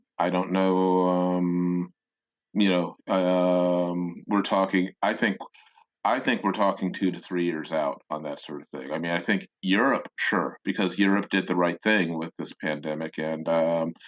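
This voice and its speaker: With an American accent, a man speaks in a very deep, low pitch at a fairly slow pace, his intonation fairly even. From Chicago. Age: 60s. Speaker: music critic. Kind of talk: interview.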